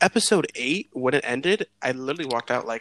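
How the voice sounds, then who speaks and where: A man's very fast speech, dry and close with no echo. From Puerto Rican heritage. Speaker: podcast co-host, computer tech. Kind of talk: casual chat.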